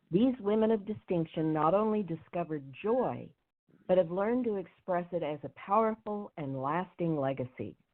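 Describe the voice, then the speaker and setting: Using an unremarkable speaking voice, a woman talks at a fairly low pitch and a moderate pace with lively intonation. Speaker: women's coach and interview host. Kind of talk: show introduction.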